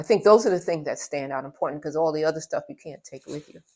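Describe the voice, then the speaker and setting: The tone is dark and mellow, with ordinary pitch variation and a New York accent. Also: woman. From New York (Brooklyn), Trinidadian parents. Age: 70s. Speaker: interviewee sharing life story. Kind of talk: interview. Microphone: audio issue in part of video.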